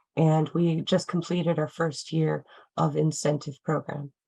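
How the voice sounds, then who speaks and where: A woman with an American accent speaks at a moderate pace in a fairly low pitch, with vocal fry and monotone, flat intonation. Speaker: nonprofit program director. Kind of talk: panel introduction. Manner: hesitant, many fillers.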